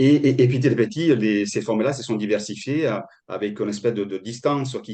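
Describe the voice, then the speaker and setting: Over a quiet background, a man talks at a moderate pace in a medium pitch, with ordinary pitch variation and a dark, mellow tone. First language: Italian (speaking French). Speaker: agroforestry consultant. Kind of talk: webinar presentation. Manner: halting, many repetitions and fillers.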